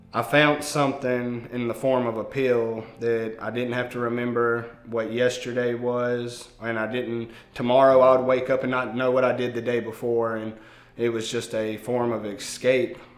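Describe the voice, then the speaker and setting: A man with a Mississippi accent speaks at medium pitch and a moderate pace in a monotone, flat intonation, with audible room echo and noticeable background noise. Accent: Southern US (Mississippi). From US South, Meridian, Mississippi. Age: 30s. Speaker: recovering addict sharing testimony. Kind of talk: testimony. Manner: hesitant, many fillers.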